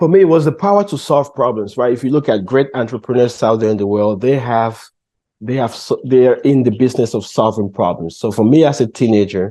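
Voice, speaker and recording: A man's dark, mellow tone with a Cameroonian accent, at a fairly quick pace against a quiet background. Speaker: entrepreneur. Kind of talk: interview.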